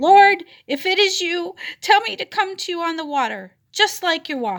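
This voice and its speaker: A woman puts on a squeaky character voice at an extremely high pitch. It sounds shaky and moves at a moderate pace. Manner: frightened but brave.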